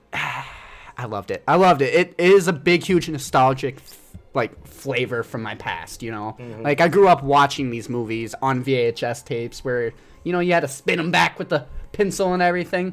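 Enthusiastic, lively intonation in an American accent, with music in the background. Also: man, fairly high pitch for a man. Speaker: podcast panelist reviewing a musical film. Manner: casual, enthusiastic, emotional.

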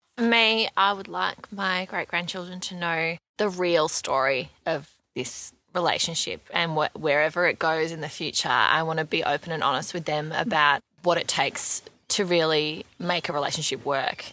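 Bright and sharp in tone, a woman with an Australian accent speaks at a fairly low pitch and moderate pace, with ordinary pitch variation. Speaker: reality TV personality. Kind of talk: casual interview chat. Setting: video call.

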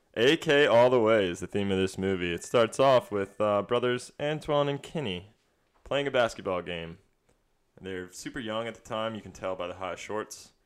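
At a moderate pace, a man with a medium pitch uses lively intonation in a plain, everyday voice, on a very clean recording with a silent background. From US South, Wilmington, North Carolina. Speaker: podcast guest, basketball fan. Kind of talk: casual chat.

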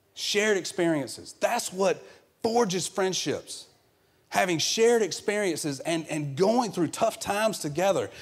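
In a Southern US accent, a man speaks at a high pitch with ordinary pitch variation. His pace is moderate. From US South. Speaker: guest preacher filling in for the pastor. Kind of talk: sermon. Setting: church service with congregation.

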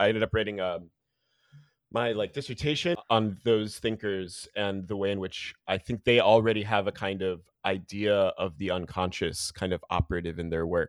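Against a quiet background, a man with an American accent speaks at a moderate pace in a fairly low voice with fairly even intonation, the sound dry and close with no echo. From New Jersey. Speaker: philosophy lecturer. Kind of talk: casual interview. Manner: halting.

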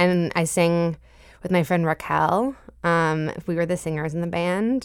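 With an American accent and a normal speaking voice, a woman speaks at a fairly slow pace, her fairly low pitch holding fairly even intonation on a very clean recording with a silent background. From Boston, Massachusetts (Jamaica Plain). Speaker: singer-songwriter. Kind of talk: radio interview.

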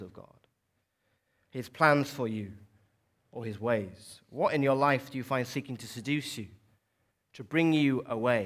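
A man with a Welsh accent at a fairly slow pace, in a very clean recording with a silent background. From South Wales. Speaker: preacher. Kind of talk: sermon. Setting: church.

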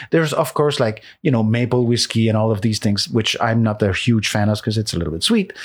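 A man with a Quebec accent speaks at a fairly quick pace with hardly any pauses, medium pitch, ordinary pitch variation and very even loudness, on a very clean recording with a silent background. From Quebec, Laurentians north of Montreal. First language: French. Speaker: composer. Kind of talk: casual conversation. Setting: in person at the host's home.

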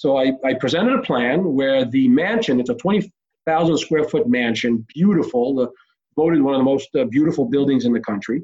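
A normal speaking voice from a man, fairly high in pitch, at a moderate pace. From Israel (Tel Aviv), moved to US at 10. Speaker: real estate developer and entrepreneur. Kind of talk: interview.

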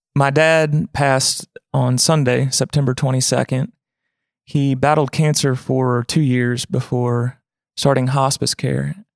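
The sound is dry and close with no echo as a man speaks fairly slowly at medium pitch, with fairly even intonation, very even loudness and a normal speaking voice. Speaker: podcast host and singer-songwriter. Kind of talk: casual interview chat. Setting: studio.

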